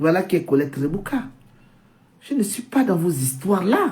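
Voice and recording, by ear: Audible room echo surrounds a woman speaking at a medium pitch with a slightly mellow tone.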